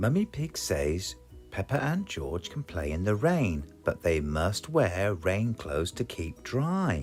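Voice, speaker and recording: Over music in the background, a man with a British accent speaks at a very slow pace in a fairly low pitch, his pitch swinging very widely. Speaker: children's story reader. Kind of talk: children's picture book read-aloud.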